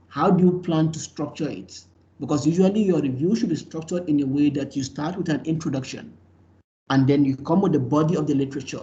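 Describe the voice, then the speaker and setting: A man talks at a very fast pace with a fairly high pitch, a somewhat breathy, dark, mellow tone and ordinary pitch variation. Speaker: university lecturer. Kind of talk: lecture.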